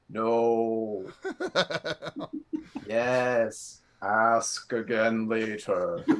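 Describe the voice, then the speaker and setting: A man puts on a booming character voice at a medium pitch. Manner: oracle-like.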